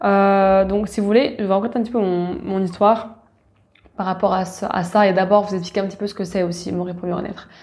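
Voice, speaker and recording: A woman at a medium pitch talks at a fairly quick pace in monotone, flat intonation, recorded very cleanly against a silent background. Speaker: podcast host, spiritual wellness coach. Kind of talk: casual personal monologue. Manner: hesitant, many fillers.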